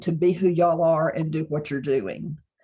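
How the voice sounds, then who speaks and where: A woman speaks with a Mississippi accent. The recording is very clean, with a silent background. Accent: Southern US (Mississippi). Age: 60s. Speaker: psychic channeler and author. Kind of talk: casual interview chat.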